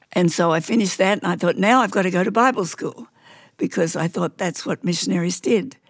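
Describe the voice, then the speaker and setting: Heard in a very clean recording with a silent background, a woman with an Australian accent shows vocal fry and ordinary pitch variation. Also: medium pitch for a woman. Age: 80s+. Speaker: missionary nurse. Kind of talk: interview testimony. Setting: studio. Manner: loud.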